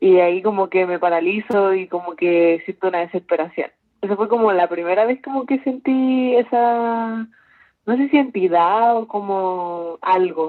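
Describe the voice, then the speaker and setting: Using a normal speaking voice, a woman talks at a fairly slow pace and medium pitch with ordinary pitch variation. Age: 20s. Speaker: university student. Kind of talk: casual chat.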